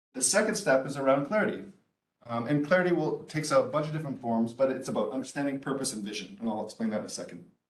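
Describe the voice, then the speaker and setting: A man with a fairly high pitch and lively intonation at a very fast pace, with audible room echo. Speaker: entrepreneur and business speaker. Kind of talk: lecture.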